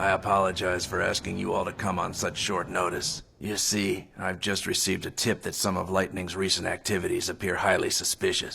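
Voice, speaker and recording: A man's raspy, put-on character voice at a fairly low pitch, fairly quick, with hardly any pauses. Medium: fan dub. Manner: polite, formal.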